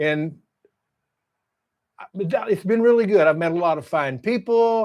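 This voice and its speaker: This man speaks with a Texas accent and a high pitch. His intonation is lively and his pace fairly slow. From Texas, Fort Worth. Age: 70s. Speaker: YouTuber, construction estimator. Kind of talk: casual vlog monologue. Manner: halting, many repetitions.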